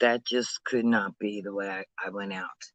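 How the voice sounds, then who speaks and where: Dry and close with no echo, a man speaks at a fairly slow pace. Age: 60s. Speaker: recovering addict vlogger. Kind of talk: casual vlog monologue. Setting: outdoors. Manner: halting, many fillers.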